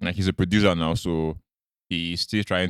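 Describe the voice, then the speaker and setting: A man with a Nigerian accent speaks very deep and low, at a fairly slow pace in a monotone, flat way. The sound is dry and close with no echo, a very clean recording with a silent background. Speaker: podcast co-host. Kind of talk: casual chat.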